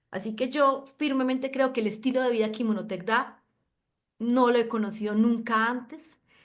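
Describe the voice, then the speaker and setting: A woman speaks at a middling speed, her pitch fairly high. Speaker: doctor and wellness network marketer. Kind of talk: video call panel talk, promotional. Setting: video call. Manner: animated.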